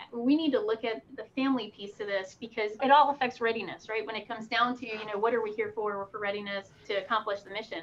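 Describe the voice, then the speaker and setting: With an American accent, the speaker talks very fast and hardly ever pauses, in fairly even intonation. Loudness swings widely, and noticeable background noise sits behind the voice. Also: woman, fairly high pitch for a woman. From Pennsylvania, Poconos. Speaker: military officer and pilot. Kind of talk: interview.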